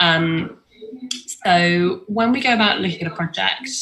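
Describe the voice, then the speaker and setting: A woman's fairly low-pitched voice over noticeable background noise. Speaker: film distribution company founder. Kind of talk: online talk.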